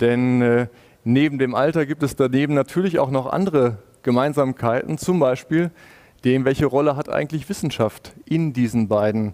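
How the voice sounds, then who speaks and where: Against a quiet background, the voice moves at a moderate pace with ordinary pitch variation. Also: man. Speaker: panel moderator. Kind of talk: moderated panel discussion. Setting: video call. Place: office. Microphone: headset.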